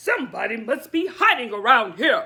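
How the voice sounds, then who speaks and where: In a put-on character voice, a man growls at an extremely high pitch, his voice raised and projected. He keeps a moderate pace. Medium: read story.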